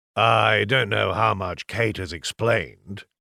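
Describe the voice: A man's put-on character voice, raspy and gravelly, fairly low in pitch and at a fairly slow pace.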